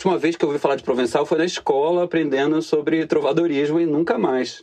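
Fairly high male voice at a very fast pace. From Bahia, Brazil (Salvador). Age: 30s. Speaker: economist and etymology enthusiast. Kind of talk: casual interview.

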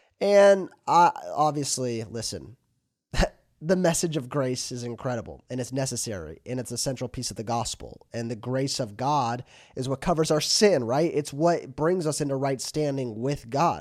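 On a very clean recording with a silent background, a man speaks at a medium pitch and a moderate pace with lively intonation. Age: 20s. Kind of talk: solo podcast monologue. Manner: casual, with many fillers.

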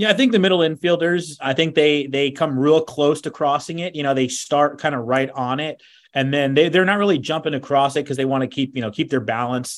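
A man talks at a fairly quick pace in a normal speaking voice, his pitch fairly high with ordinary variation and hardly any pauses. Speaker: baseball broadcaster. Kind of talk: casual interview chat.

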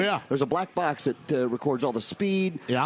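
His speaking voice is unremarkable. He moves through his words at a fairly quick pace. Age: 40s. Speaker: sports radio co-host. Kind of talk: casual sports chat.

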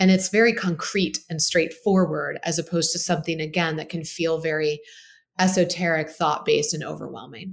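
A woman speaks in a normal speaking voice at a fairly low pitch. Her intonation is fairly even, and her pace is fairly quick. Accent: American. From Baltimore, Maryland, US. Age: 40s. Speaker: physician and health company founder. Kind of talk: interview conversation.

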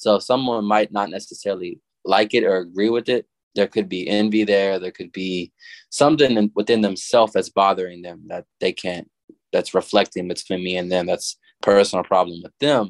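Over a quiet background, a man with an American accent and an ordinary speaking voice talks at a moderate pace, with a fairly low pitch, ordinary pitch variation and big swings in loudness. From Arkansas, US South. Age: 20s. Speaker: rapper. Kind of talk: casual chat. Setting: video call.

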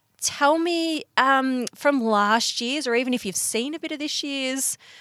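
Speaking in an Australian accent, a woman uses a high pitch and lively intonation at a fairly slow pace. The recording is very clean and dry, close with no echo, and the background is silent. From Bendigo, Victoria, Australia. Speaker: podcast host and magazine editor. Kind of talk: casual interview. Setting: podcast van by a lake.

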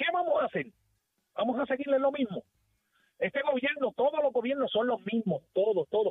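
The delivery holds a moderate pace and very even loudness, with ordinary pitch variation and long, frequent pauses. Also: man, extremely high pitch for a man. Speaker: caller. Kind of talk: call-in rant.

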